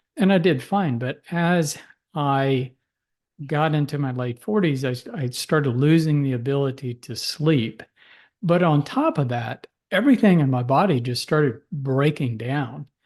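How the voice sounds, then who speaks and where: Against a quiet background, a man with an unremarkable speaking voice talks at a fairly slow pace, his fairly high pitch varying in an ordinary way. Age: 60s. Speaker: physician. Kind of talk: interview.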